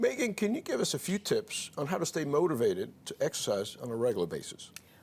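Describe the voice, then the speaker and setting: Noticeable background noise sits behind this man. He speaks very fast with a New York accent. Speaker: physician talk show host. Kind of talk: talk show interview.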